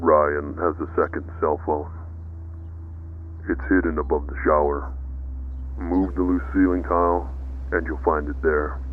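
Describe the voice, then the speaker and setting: In a put-on character voice, a man talks quietly and raspily at a moderate pace, with long, frequent pauses and clear background noise behind him. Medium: read story. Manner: terse.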